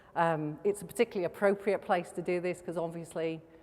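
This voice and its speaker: Talking fairly quickly, a woman keeps her pitch fairly low. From Wales. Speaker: company executive. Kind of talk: welcome speech. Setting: stage with audience.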